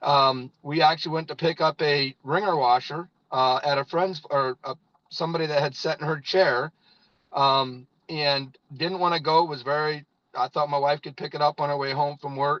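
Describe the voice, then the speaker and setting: A man with a fairly high pitch talks at a moderate pace, the sound dry and close with no echo. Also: fairly even intonation. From US Midwest, northern Indiana. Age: 50s. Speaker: network marketing leader, former farmer. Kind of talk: testimony. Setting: in a parked car.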